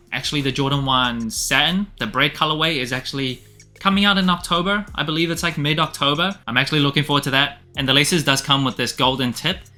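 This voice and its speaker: Very fast and with hardly any pauses, a man talks at a fairly high pitch in a bright, sharp tone, his pitch varying in an ordinary way. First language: not English. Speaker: sneaker reviewer. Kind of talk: product review. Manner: casual.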